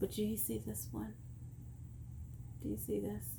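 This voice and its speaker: Audible room echo surrounds the woman speaking here. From Texas. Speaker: vlogger. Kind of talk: casual chat.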